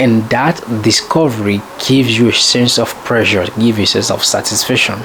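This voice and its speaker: A man with a French accent speaks at a moderate pace with ordinary pitch variation, noticeable background noise behind him. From French-speaking country. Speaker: self-improvement vlogger. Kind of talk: casual monologue. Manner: halting, with many fillers.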